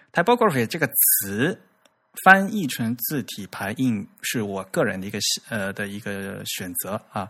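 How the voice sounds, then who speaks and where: A man speaks at a medium pitch and a fairly slow pace. His intonation is lively. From China, Fujian. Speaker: podcast host on typography. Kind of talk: casual chat. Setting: recorded audio podcast.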